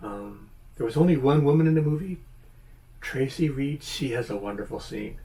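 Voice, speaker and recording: Dark and mellow in tone, a man's voice sits at a fairly high pitch and sounds somewhat breathy. He speaks at a moderate pace with ordinary pitch variation. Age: 70s. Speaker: YouTuber, movie reviewer. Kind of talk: casual video review monologue. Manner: hesitant, many fillers and restarts.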